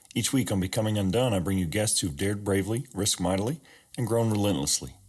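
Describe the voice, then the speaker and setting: This man talks at a very fast pace in a fairly low pitch, and his voice is somewhat breathy. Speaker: podcast host. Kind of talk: personal reflection monologue.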